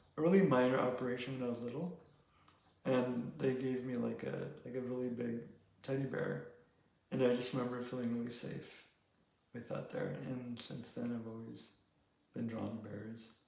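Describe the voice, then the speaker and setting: With long, frequent pauses and fairly even intonation, a man at medium pitch talks in a room with audible echo. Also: moderate pace. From Mexico. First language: Spanish. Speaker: painter and sculptor. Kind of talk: casual interview. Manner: hesitant, many fillers.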